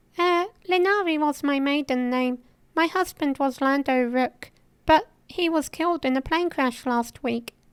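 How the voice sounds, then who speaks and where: A put-on character voice is used here. The delivery moves at a moderate speed. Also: woman, high pitch for a woman, ordinary pitch variation. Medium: machinima. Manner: hesitant.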